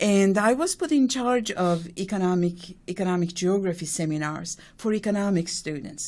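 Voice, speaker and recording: Her voice sits at a medium pitch for a woman, with ordinary pitch variation and a moderate pace. The recording is very clean, with a silent background. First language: not English. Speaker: economics professor. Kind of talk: interview. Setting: radio studio. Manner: halting, many fillers.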